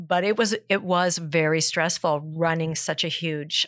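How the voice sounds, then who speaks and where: Speaking fairly slowly with fairly even intonation, a woman with a Californian accent sounds dry and close with no echo. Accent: Californian American. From Southern California (South Pasadena). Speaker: fitness trainer and gym owner. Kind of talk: casual interview.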